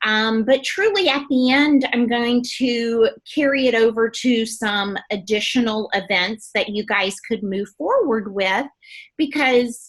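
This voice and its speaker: A woman with a slight Southern US accent, a fairly high pitch, ordinary pitch variation and a fairly slow pace. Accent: slight Southern twang. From US South, Gulf Coast of Alabama. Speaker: beauty products trainer. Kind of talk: training presentation. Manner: animated.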